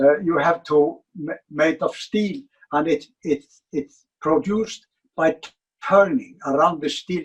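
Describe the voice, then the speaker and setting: A man with an Icelandic accent, fairly high in pitch, with ordinary pitch variation. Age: 80s+. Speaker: furniture designer. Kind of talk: interview. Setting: museum basement. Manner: halting, many fillers and repetitions.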